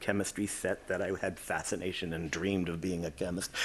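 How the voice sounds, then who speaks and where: The speaker is a man with a Boston accent. The background is quiet. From Quincy, Massachusetts (Boston area). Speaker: chemistry professor. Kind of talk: lecture. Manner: conversational.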